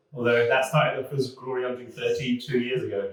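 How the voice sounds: In a room with audible echo, a man speaks at a fairly quick pace with a medium pitch and fairly even intonation.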